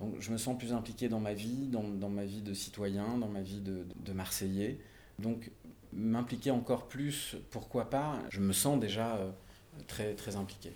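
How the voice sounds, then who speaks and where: A man at a very slow pace, fairly low in pitch, with fairly even intonation and audible room echo. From Marseille area, southern France. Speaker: actor and musician. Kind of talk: casual interview. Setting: on location, mic on wine crates. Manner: halting, frequent repetitions.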